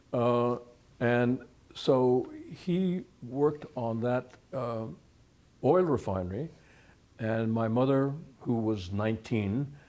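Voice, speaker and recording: A man's dark, mellow voice with an American accent, at a very slow pace with long, frequent pauses. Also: medium pitch for a man, ordinary pitch variation. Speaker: retired history professor. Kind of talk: interview. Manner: halting.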